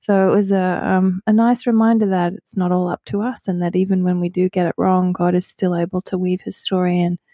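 An Australian-accented woman talks at a moderate pace and medium pitch, with a dark, mellow tone. The sound is dry and close with no echo, on a very clean recording with a silent background. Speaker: pastor. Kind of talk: casual chat about scripture.

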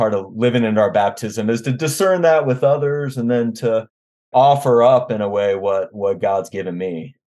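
A man uses an ordinary speaking voice at medium pitch, with lively intonation and a moderate pace. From US, Washington D.C. area. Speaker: theology professor. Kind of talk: interview conversation.

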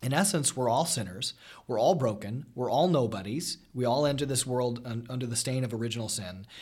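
This man's voice is somewhat breathy and medium in pitch, with ordinary pitch variation, at a fairly quick pace. The recording is very clean with a silent background. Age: 30s. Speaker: high school teacher. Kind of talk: casual chat.

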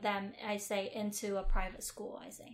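A woman speaks at a moderate pace. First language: Vietnamese. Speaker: podcast co-host. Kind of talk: casual chat.

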